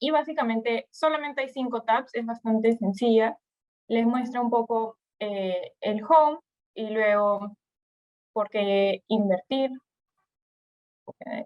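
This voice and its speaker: A woman with a Peruvian accent speaks at a very slow pace, using a fairly high pitch and ordinary pitch variation. Her speech has long, frequent pauses. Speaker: investment platform presenter. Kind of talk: webinar presentation. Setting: online webinar. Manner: halting.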